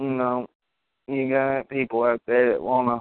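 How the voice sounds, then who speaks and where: A man speaks at a fairly slow pace in a medium pitch. His intonation is flat and monotone. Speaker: amateur internet radio host talking video games. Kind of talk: casual solo talk show. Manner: rambling; halting.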